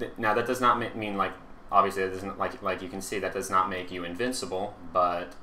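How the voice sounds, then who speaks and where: Echo from the room comes through audibly. The voice keeps a fairly even intonation. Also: man. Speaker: gaming YouTuber. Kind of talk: gameplay commentary. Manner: halting, many fillers.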